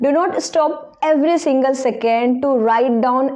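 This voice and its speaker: In a room with audible echo, a woman with a strong Indian accent speaks at high pitch and a moderate pace, with ordinary pitch variation. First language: Indian language (not English). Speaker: English learning YouTuber. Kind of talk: casual advice talk to camera.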